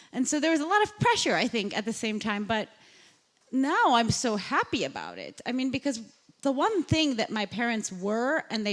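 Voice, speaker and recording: With a Chicago accent, a woman speaks at a moderate pace in a fairly high voice with lively intonation. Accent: American (Chicago) English. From US Midwest, south side of Chicago. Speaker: journalist and podcast host. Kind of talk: onstage interview.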